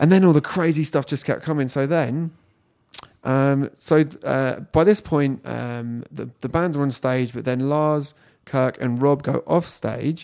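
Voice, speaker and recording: A man with a British accent and a dark, mellow tone is heard on a very clean recording with a silent background. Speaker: music magazine podcast host. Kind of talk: casual chat, podcast. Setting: echoey boardroom.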